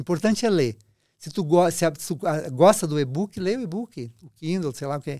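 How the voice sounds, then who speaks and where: A man's high-pitched voice, dark and mellow in tone, with lively intonation at a moderate pace. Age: 70s. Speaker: friar and book restorer. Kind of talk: casual interview chat. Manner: halting, with false starts.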